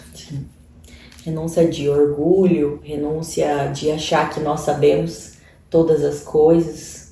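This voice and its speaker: In a very deep, low pitch, a woman speaks at a very slow pace with monotone, flat intonation, amid audible room echo and noticeable background noise. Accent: strong Cuiabá. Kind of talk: sermon-style online teaching.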